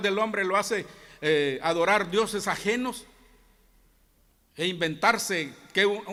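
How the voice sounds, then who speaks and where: A man talks in a high, raised and projected voice with lively intonation. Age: 60s. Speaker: Bible teacher at a church. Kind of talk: Bible class teaching. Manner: halting, many false starts.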